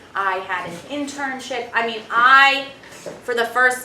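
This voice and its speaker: A woman with a Brooklyn accent speaks at a fairly slow pace in an animated tone, with audible room echo and noticeable background noise. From Brooklyn, New York. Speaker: alumna and government appointee. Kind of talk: testimony. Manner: animated, with many fillers and restarts.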